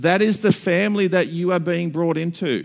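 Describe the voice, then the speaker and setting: This man speaks with an Australian accent at a high pitch. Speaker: pastor. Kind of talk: sermon.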